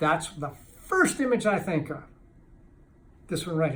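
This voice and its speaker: Speaking very fast with an American accent, a man sounds somewhat breathy amid audible room echo. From Kentucky, US. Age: 60s. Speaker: addiction recovery author and speaker. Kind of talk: motivational talk to camera. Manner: animated, with halting restarts.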